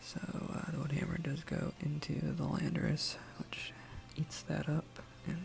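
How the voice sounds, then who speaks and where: Soft-spoken and calm in tone, the voice moves at a very slow pace against noticeable background noise. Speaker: ASMR creator. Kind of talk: ASMR soft-spoken gameplay commentary. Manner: soft-spoken, calm.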